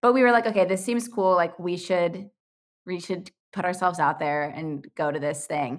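With a plain, everyday voice, a woman speaks at a moderate pace and a fairly low pitch, her intonation lively, in a very clean recording with a silent background. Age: 20s. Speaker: youtuber and podcaster, former preschool teacher. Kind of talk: casual chat.

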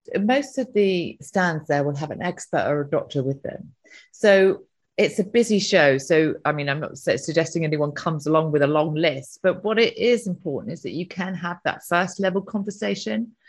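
Against a quiet background, a woman with an ordinary speaking voice talks at a moderate pace and a fairly low pitch. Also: lively intonation. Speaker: events company director. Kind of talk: interview.

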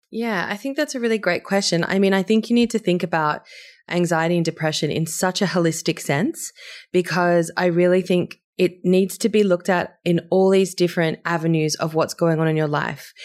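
A woman with an unremarkable speaking voice talks at a fairly quick pace, her pitch fairly low with ordinary pitch variation. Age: 30s. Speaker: herbalist and nutritionist. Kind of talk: interview.

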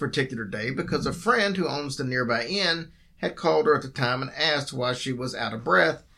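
Natural voice in a reading delivery

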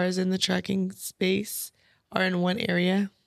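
A woman with an American accent speaks at a medium pitch and a fairly slow pace. The recording is very clean, with a silent background. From US West Coast (San Bernardino, California). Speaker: trucking business owner. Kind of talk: casual interview chat.

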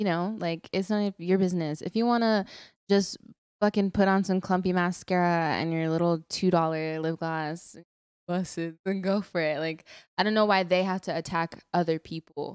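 An unremarkable speaking voice with an American accent, at a moderate pace with fairly even intonation, in a very clean, dry, close recording with a silent background and no echo. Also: woman, fairly low pitch for a woman. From Texas. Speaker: podcast co-host. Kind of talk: casual chat. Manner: playful, joking.

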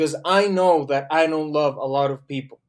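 A man talks with a Spanish accent. His pitch is fairly high and varies in an ordinary way. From Colombia. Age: 20s. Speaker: theology student. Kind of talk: casual chat. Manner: thinking aloud, hesitant.

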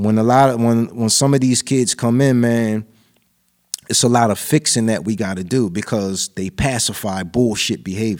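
A man speaks at a moderate pace at medium pitch with ordinary pitch variation. It is an ordinary speaking voice. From New Jersey, Lawnside. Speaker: rapper. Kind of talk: casual chat.

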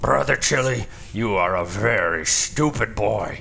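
Over clear background noise, a man growls in a put-on character voice, fairly low in pitch and at a fairly slow pace. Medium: audio drama. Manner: falsely soothing, then snarling.

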